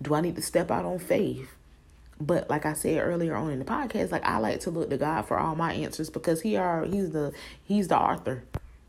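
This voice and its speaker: A woman talks fairly quickly in a fairly low pitch, with vocal fry in her voice. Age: 20s. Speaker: podcaster and preschool worker. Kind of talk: casual faith-based monologue. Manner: conversational, frequent ums.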